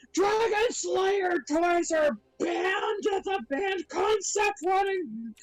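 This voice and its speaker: A loud put-on character voice at an extremely high pitch and a very slow pace. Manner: loud, indignant.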